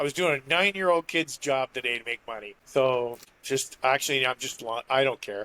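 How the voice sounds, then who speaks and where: The recording is dry and close with no echo as a man talks at a fairly quick pace in a bright, sharp tone with ordinary pitch variation. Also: medium pitch for a man. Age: 50s. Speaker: knife maker and co-host. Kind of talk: casual chat.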